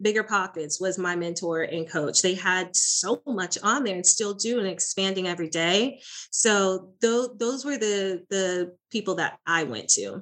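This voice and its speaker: Speaking with an American accent, a woman uses an unremarkable speaking voice at medium pitch with ordinary variation, going fairly slowly with hardly any pauses. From small town in Florida. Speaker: real estate investor and coach. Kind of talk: interview.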